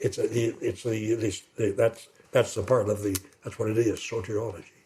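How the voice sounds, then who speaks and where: Fairly quick and somewhat breathy, a man's medium-pitched voice has a dark, mellow tone and monotone, flat intonation. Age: old. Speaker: retired pastor. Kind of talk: interview. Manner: fast; rambling, hesitant.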